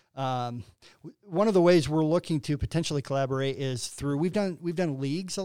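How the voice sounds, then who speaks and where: Here a man speaks in a Midwestern American accent with a dark, mellow tone. His pace is fairly quick and his pitch variation is ordinary. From northern Illinois (LaSalle-Peru). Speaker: nonprofit CEO. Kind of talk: interview.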